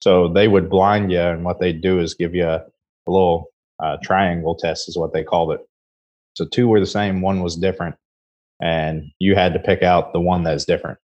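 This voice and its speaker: A man with an American accent, very deep and low in pitch, at a moderate pace with fairly even intonation. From US Midwest. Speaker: head distiller. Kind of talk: interview. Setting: remote call.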